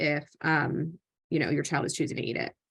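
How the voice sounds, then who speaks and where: In an American accent, a woman with an ordinary speaking voice talks at a moderate pace with ordinary pitch variation over a quiet background. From US Northeast, New Jersey. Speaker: occupational therapist and parent presenter. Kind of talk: live online panel presentation. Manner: conversational, many fillers and restarts.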